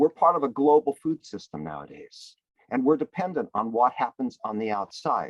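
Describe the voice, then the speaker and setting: At a moderate pace, a man talks in an ordinary speaking voice with medium pitch. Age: 60s. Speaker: panelist on food and climate. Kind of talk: panel discussion.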